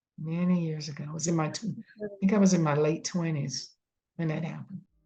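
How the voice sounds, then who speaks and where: With an American accent, a woman speaks at a very fast pace in a fairly low, somewhat breathy voice with a dark, mellow tone and fairly even intonation. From US South. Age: 70s. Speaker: oral history interviewee. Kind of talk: oral history interview. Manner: halting.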